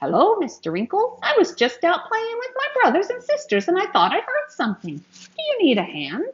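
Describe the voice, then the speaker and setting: A woman puts on a squeaky character voice at an extremely high pitch, barely pausing at all. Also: moderate pace. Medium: read story. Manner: eager, cheerful.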